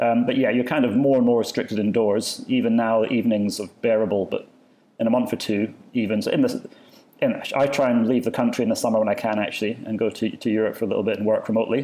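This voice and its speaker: Speaking very fast with a Scottish accent, a man has a dark, mellow tone and monotone, flat intonation. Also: medium pitch for a man. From Scotland. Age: 40s. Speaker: architect. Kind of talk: casual chat.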